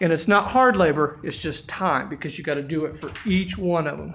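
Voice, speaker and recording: A man talks with ordinary pitch variation, keeping a moderate pace. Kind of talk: tutorial. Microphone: phone near.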